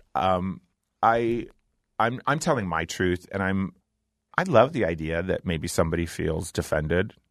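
Against a quiet background, a man with a normal speaking voice talks at a moderate pace and a fairly low pitch. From US Midwest, Ohio. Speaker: drag performer. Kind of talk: interview. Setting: studio.

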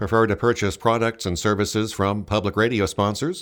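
A man's fairly low voice with fairly even intonation and a fairly quick pace, an unremarkable speaking voice on a very clean recording with a silent background. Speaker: radio host.

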